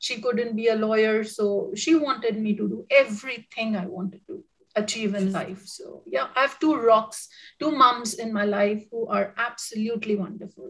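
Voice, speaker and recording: Speaking in an Indian accent, a woman with a fairly high pitch keeps a moderate pace, ordinary pitch variation and big swings in loudness. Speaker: professor. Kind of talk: casual interview. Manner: halting.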